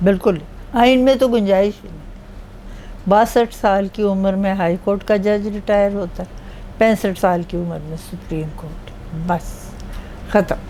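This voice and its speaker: Big swings in loudness mark a woman's medium-pitched voice, which shows ordinary pitch variation against noticeable background noise. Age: 80s+. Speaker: retired judge. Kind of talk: interview.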